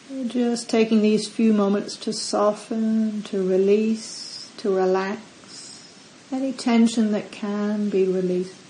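Noticeable background noise surrounds a woman's gentle, fairly high voice. She talks at a very slow pace in a monotone, flat intonation. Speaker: meditation teacher. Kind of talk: guided meditation. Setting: retreat center. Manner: slow, calm, soft-spoken; gentle, long pauses between instructions.

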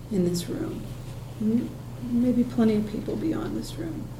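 Her pitch swinging very widely, a woman talks at a moderate pace amid audible room echo and noticeable background noise. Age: 60s. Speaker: meditation teacher. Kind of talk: dharma talk. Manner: halting.

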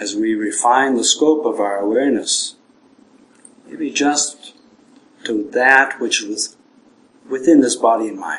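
A man with a medium pitch and ordinary pitch variation speaks at a fairly slow pace, leaving long, frequent pauses. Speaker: Buddhist monk leading guided meditation. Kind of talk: guided meditation. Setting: evening talk in a meditation center. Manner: gentle, measured with long pauses.

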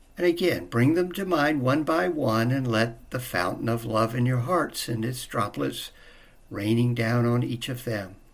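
A man with a plain, everyday voice, medium pitch, lively intonation and a fairly slow pace. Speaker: meditation teacher. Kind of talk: guided meditation. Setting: meditation retreat. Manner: slow, calm, gentle; long pauses between soft-spoken instructions.

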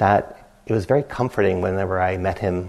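A man talks at a fairly slow pace with ordinary pitch variation. He has a normal speaking voice. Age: 50s. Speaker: meditation teacher. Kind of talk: dharma talk. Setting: retreat center meditation hall.

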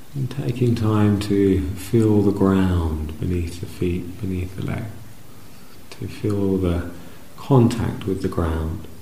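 A man's very deep, low voice, very slow and with a gentle, calm tone, over noticeable background noise. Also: ordinary pitch variation. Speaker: meditation teacher. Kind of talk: guided meditation. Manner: slow, soft-spoken, with long pauses between short phrases; gentle, calm, soothing.

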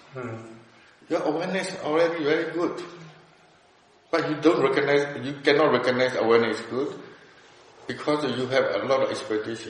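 A man with a Burmese accent speaks at a fairly quick pace and a fairly high pitch, with ordinary pitch variation. He takes long, frequent pauses, and there is noticeable background noise. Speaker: meditation teacher. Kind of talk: dharma discussion. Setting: meditation centre. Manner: halting.

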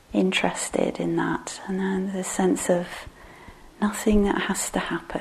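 Noticeable background noise sits behind a woman speaking at a fairly slow pace in a gentle tone. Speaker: meditation teacher. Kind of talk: guided meditation. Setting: meditation hall with live group. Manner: voice drops quiet when guiding; slow, gentle, hesitant.

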